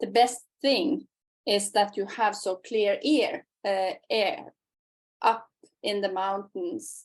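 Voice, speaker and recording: A woman speaks in a Norwegian accent at a very slow pace. Her pitch is fairly high and her intonation lively. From Norway. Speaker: podcast host. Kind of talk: interview conversation.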